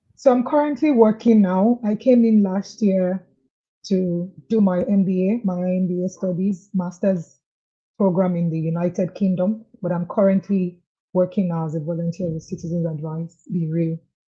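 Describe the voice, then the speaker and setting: A somewhat breathy woman's voice, medium in pitch and dark, mellow in tone, at a moderate pace with ordinary pitch variation. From Nigeria, Lagos. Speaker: client giving testimonial. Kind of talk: interview. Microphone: too quiet at first.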